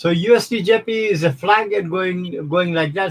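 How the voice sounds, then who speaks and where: A man talks loudly in a high voice. His pitch varies in an ordinary way. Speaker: forex trading mentor. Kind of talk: live trading session commentary. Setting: live stream video call. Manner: animated.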